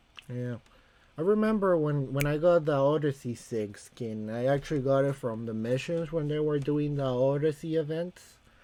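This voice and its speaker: A man speaks in a Latin American accent at a moderate pace. His voice is fairly high in pitch, with a dark, mellow tone and ordinary pitch variation. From Costa Rica. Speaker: gaming streamer. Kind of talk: live stream chat. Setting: home streaming room with camera.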